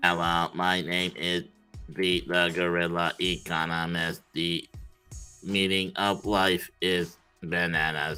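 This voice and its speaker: A robotic, put-on character voice from a man, very deep and low, at a fairly slow pace with faint music in the background. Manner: playful, comic.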